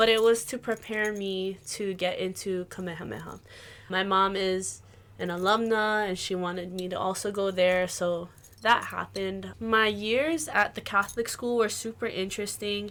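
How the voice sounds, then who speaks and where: A woman speaks at a fairly slow pace with a Hawaiian accent, her intonation fairly even. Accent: Hawaii English. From Hawaii, Waimanalo on east Oahu. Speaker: musician and Hawaiian language teacher. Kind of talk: casual podcast interview.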